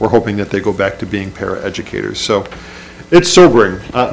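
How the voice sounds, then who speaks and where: Noticeable background noise runs through the clip. Over it, a man talks. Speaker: school superintendent. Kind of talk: budget presentation at public meeting. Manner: fast.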